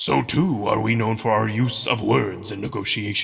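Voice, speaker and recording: A man puts on a character voice. He talks at a moderate pace. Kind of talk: ceremonial oration. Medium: read story. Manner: formal, measured, authoritative.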